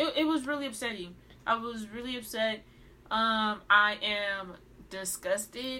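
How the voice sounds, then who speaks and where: Pitched fairly high, a woman talks at a fairly slow pace with a bright, sharp tone and ordinary pitch variation. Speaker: podcast co-host. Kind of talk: casual chat. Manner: animated, enthusiastic.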